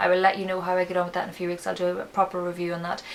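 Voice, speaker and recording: A woman with an Irish accent talks at a fairly low pitch. Noticeable background noise runs throughout. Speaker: beauty vlogger. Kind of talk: casual product review vlog. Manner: flat, low-energy.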